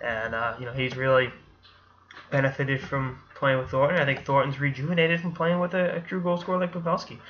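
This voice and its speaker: A man with an American accent at a fairly quick pace, with ordinary pitch variation. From Boston area, Massachusetts. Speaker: sports commentator. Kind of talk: casual sports commentary. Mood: casual, opinionated. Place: home room. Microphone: webcam.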